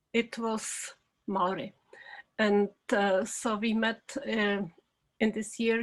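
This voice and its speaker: Flat, monotone intonation from a woman with a Czech accent and a fairly high pitch. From Czech Republic. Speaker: documentary film director. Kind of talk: interview. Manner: halting, many fillers.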